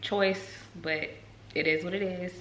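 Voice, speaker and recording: A woman speaks at a fairly slow pace in a monotone, flat way. Room echo is audible. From North Carolina. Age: 20s. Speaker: nursing student vlogger. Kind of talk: casual vlog talk. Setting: talking to camera at home. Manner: casual, many fillers.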